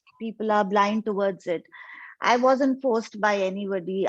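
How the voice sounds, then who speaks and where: At a fairly quick pace, a woman speaks with a medium pitch and fairly even intonation. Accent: Indian. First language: Hindi. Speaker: convert sharing testimony. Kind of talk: testimony.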